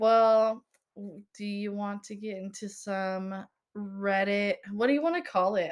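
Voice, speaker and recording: With big swings in loudness, a woman uses a normal speaking voice at a medium pitch and fairly even intonation. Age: 20s. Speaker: podcast co-host. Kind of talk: casual chat.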